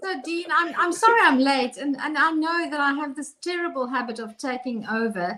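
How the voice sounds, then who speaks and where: A woman's high-pitched, raised, projected voice in a South African accent, lively in intonation, at a moderate pace. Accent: Afrikaans South African English. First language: Afrikaans. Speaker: co-host. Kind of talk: casual chat.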